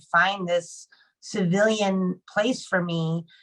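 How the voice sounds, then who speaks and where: In an American accent, a woman uses a plain, everyday voice at a medium pitch with fairly even intonation. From Arizona. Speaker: Marine Corps veteran and advocate. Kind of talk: panel discussion. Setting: video call.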